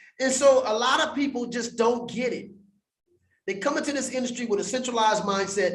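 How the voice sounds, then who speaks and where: Animated male voice at a moderate pace with audible room echo. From US West Coast, Compton, California. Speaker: crypto educator. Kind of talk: livestream teaching monologue. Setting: livestream in front of green screen.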